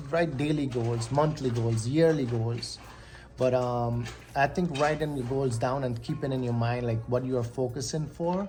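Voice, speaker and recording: Noticeable background noise and audible room echo, with ordinary pitch variation at a fairly slow pace. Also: man. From Guyana. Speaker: vlogger. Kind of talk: motivational talk. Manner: casual, hesitant with many ums.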